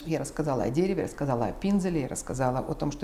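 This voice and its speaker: Speaking at a very fast pace, a woman with a very deep, low pitch uses ordinary pitch variation amid audible room echo. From Ukraine, Kyiv. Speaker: art collector and patron. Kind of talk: interview. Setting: at her home.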